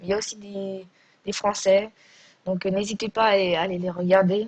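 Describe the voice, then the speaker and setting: Somewhat breathy delivery at a fairly slow pace. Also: woman. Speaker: gaming youtuber. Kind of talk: gameplay commentary. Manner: hesitant.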